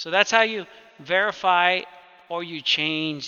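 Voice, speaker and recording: In a high voice, a man talks with ordinary pitch variation. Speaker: computer technician teaching a client. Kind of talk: one-on-one tutorial. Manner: fast; casual, informal.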